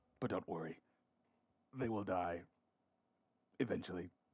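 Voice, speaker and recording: A man puts on a raspy character voice, very deep and low in pitch. He moves at a moderate pace with ordinary pitch variation. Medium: game stream. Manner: hushed, deadpan, ironic.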